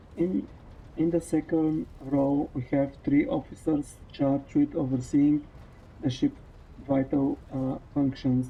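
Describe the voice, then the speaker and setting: Words come out at a very slow pace. They carry a non-native accent. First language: not English. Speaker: streamer. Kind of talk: reading game text aloud during let's play. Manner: halting, rereading words.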